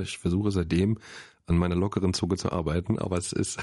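A man speaks at a fairly quick pace with a very deep, low pitch and a dark, mellow tone. His intonation stays monotone and flat. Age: 30s. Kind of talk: casual chat. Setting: studio. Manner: halting.

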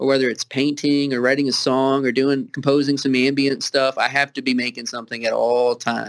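The man talks at a fairly quick pace. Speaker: author and musician. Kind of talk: casual chat interview. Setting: video call over Skype.

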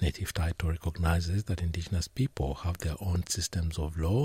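A man's very deep, low, somewhat breathy voice at a moderate pace, dry and close with no echo, in a very clean recording with a silent background. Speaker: radio presenter. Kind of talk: radio news and magazine presenting. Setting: studio.

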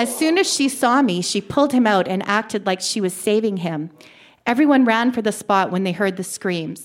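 Just an unforced reading voice.

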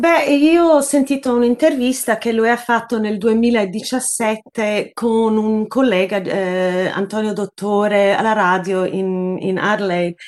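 At a very slow pace and with hardly any pauses, a woman talks in a fairly high pitch with ordinary pitch variation. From Sydney, Australia (born in Naples, Italy). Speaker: journalist. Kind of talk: interview. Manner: halting, many repetitions.

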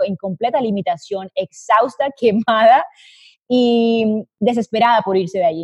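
In a dry, close recording with no echo, a woman with a fairly high, somewhat breathy voice and a dark, mellow tone speaks with lively intonation. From Colombia. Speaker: business consultant. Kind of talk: interview.

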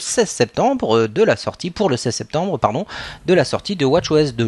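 Speaking at a moderate pace, a man's voice makes very wide pitch swings. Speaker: podcast co-host. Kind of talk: casual chat.

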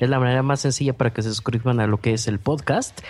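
The delivery is animated and moves at a fairly quick pace. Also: man. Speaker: podcaster and filmmaker. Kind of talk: interview. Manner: clear diction.

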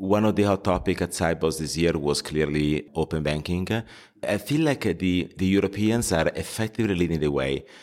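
At a moderate pace, a man with a very deep, low voice speaks at very even loudness with ordinary pitch variation, in a very clean recording with a silent background. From Italy, Milan. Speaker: fintech entrepreneur. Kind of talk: interview. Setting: at a conference. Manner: halting, many fillers.

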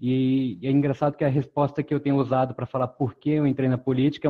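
Here a man speaks in an ordinary speaking voice at a fairly quick pace. His pitch is medium and his intonation fairly even. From Brazil, born in Pará, raised in several cities. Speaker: former city council candidate, economist. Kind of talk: webinar panel discussion.

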